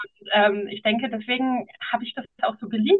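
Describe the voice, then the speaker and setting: This woman has an unremarkable speaking voice with a fairly high pitch. She keeps a moderate pace and ordinary pitch variation. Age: 40s. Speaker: founder and podcast guest. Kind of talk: casual interview chat.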